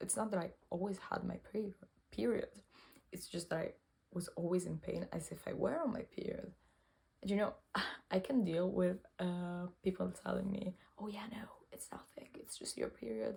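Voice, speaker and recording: With a non-native accent, a woman speaks at a moderate pace. She leaves long, frequent pauses. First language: not English. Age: 20s. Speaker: cancer patient vlogger. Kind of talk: personal testimony vlog. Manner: halting, self-correcting.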